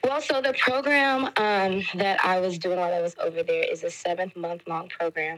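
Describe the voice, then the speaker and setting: A woman with an American accent has a plain, everyday voice at a medium pitch. She speaks at a moderate pace with lively intonation. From Detroit, Michigan, US. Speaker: teacher. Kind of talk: podcast interview.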